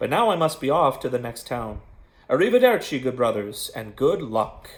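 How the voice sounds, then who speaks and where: A put-on character voice at a moderate pace, in a very clean recording with a silent background. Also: man, medium pitch for a man. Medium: read story.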